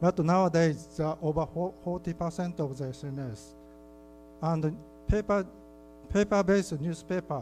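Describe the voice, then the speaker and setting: Someone speaks at a moderate pace in a Japanese accent, with ordinary pitch variation. Long pauses come often, and music plays in the background. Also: man. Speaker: keynote speaker, library researcher. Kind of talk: conference keynote presentation. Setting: conference hall with audience. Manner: halting.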